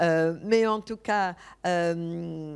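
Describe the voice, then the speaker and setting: On a very clean recording with a silent background, a woman with a non-native accent speaks with ordinary pitch variation. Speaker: architect and conference speaker. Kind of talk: conference talk. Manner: halting, many hesitations.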